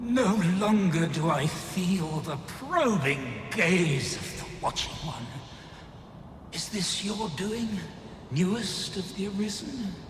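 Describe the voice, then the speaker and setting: The speaker uses a put-on character voice at a fairly slow pace. Clear echo and clear background noise fill the recording. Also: man, high pitch for a man. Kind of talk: archaic, regal speech. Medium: machinima. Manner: grave, stately.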